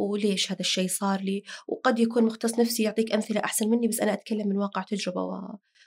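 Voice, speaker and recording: A woman talks at a very fast pace in a flat monotone, barely pausing at all. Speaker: diabetes health educator. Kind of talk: casual chat. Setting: studio.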